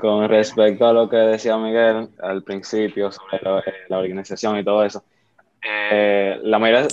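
This man speaks at a fairly slow pace in a fairly low pitch. His intonation is monotone and flat. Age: young. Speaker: church worship musician. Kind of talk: casual chat.

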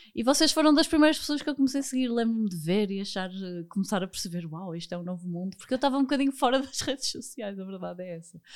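The delivery comes at a very fast pace. Both pitch and loudness swing very widely. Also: woman, fairly high pitch for a woman. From Porto, northern Portugal. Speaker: finance educator, entrepreneur. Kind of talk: podcast interview.

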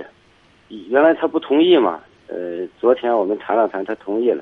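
His medium-pitched voice moves at a moderate pace, and this man's pitch swings very widely. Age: 50s. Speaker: caller. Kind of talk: phone-in chat. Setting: phone call.

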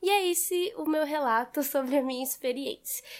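Speech at a moderate pace with ordinary pitch variation comes through on a very clean recording with a silent background. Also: woman. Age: 20s. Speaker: physics graduate and science communicator. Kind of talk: recorded personal monologue.

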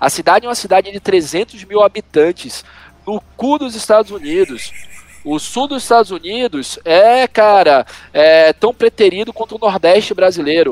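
Recorded with a dry, close sound and no echo, this man talks at a moderate pace in a high pitch with lively intonation. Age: 40s. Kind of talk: casual chat.

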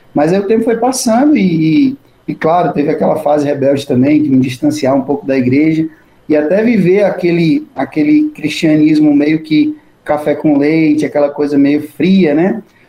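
A man with a normal speaking voice, a fairly high pitch, ordinary pitch variation and a moderate pace. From Brazil, interior of Ceará. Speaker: Capuchin friar and priest, author. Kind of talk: interview.

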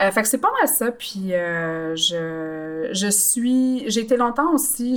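A woman at medium pitch with ordinary pitch variation. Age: 30s. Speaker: podcast guest. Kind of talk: casual chat.

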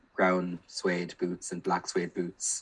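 At a very slow pace, a man talks with an Irish accent. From Ireland, County Kilkenny. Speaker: primary school teacher. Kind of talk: casual chat.

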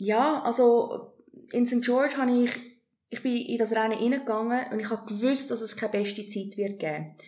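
An unremarkable speaking voice runs at a fairly quick pace with ordinary pitch variation. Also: woman, fairly high pitch for a woman. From South Africa and Hong Kong, moved to Switzerland at 17. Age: 40s. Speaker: amateur triathlete. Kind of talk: interview, personal story.

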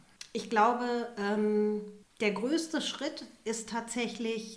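A very slow-paced woman's voice amid noticeable background noise and audible room echo. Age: 40s. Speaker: refugee support worker. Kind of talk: interview.

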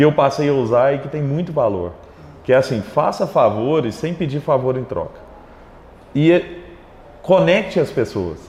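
A man with fairly high pitch and lively intonation at a moderate pace, with long, frequent pauses and noticeable background noise. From Minas Gerais, Brazil (Triângulo Mineiro, Araguari). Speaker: tech entrepreneur. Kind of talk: interview.

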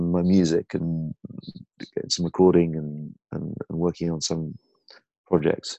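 Music plays behind a man with a northern English accent and a very deep, low pitch. His intonation is fairly even, and the sound is dry and close with no echo. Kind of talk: casual interview chat. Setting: remote call.

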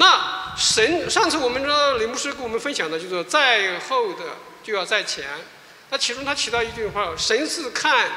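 At a moderate pace, a man speaks with an extremely high pitch and very wide pitch swings. There is audible room echo along with noticeable background noise. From mainland China. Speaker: pastor. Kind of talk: testimony.

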